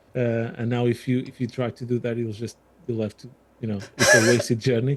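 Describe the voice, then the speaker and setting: A man talks at a fairly quick pace in a medium pitch with a slight Portuguese accent. His intonation is monotone and flat, while his loudness swings widely. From Portugal. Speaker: armoured vehicle restoration volunteer. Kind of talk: podcast interview.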